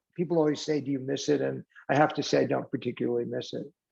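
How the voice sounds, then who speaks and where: The man's voice has a dark, mellow tone. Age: 70s. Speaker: charity co-founder, former psychology professor and business executive. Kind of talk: podcast interview. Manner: conversational, with frequent fillers.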